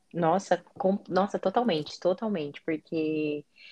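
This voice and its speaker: Dark and mellow in tone with ordinary pitch variation, the voice sounds dry and close with no echo over a quiet background. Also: woman. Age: 20s. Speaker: foreign trade analyst, guest. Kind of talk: casual interview.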